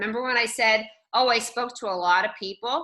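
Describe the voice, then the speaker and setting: Loud and fairly quick, a woman speaks with a fairly high pitch, ordinary pitch variation, and a bright, sharp tone. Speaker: real estate trainer. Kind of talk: online training session. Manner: animated.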